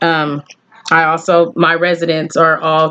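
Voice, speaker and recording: Fairly low female voice with an American accent. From Texas. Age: 40s. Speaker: student. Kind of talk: class introduction video. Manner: hesitant, many fillers.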